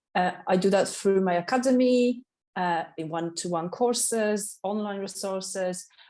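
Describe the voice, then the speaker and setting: A woman talks at a moderate pace with a medium pitch. Her tone is dark and mellow, with ordinary pitch variation. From Poland, Katowice. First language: Polish. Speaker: waxing specialist and salon owner. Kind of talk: podcast interview. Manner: energetic.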